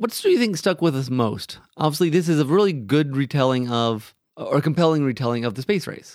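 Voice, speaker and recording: A plain, everyday voice from a man, fairly high pitched, with lively intonation, a fairly quick pace and hardly any pauses. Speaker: podcast host. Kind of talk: casual chat about movies.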